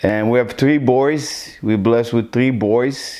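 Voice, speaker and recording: Fairly even intonation in an Israeli accent. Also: man. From Israel, Iraqi family. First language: Hebrew. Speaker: interviewee in documentary. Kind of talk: personal life story interview. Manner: halting, many fillers.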